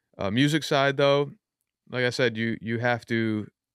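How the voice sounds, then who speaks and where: In a very clean recording with a silent background, a man with a New York accent speaks with ordinary pitch variation in a dry, close sound with no echo. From Yonkers, New York. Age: 30s. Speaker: rapper. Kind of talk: casual chat. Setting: studio.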